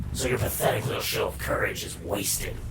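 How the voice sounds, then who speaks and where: Whispering in a put-on character voice at a moderate pace, a man is heard over loud background noise. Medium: read story. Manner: sneering, vulgar.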